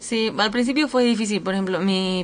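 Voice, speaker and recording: Ordinary pitch variation from a woman, moderately paced, with noticeable background noise throughout. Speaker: university footballer. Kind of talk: interview.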